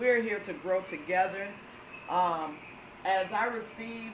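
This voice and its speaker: Speaking at a medium pitch with a Southern US accent, a woman is heard over noticeable background noise and audible room echo. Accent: Florida southern. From Florida. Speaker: spiritual channel host. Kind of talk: inspirational talk. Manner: casual, with many fillers.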